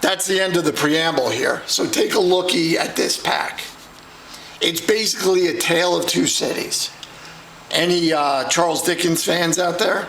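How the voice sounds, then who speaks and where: A man with an American accent speaks at a moderate pace and a high pitch, his intonation fairly even. His loudness stays very even, and room echo is audible. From New York. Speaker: card collector. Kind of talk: casual pack-break vlog.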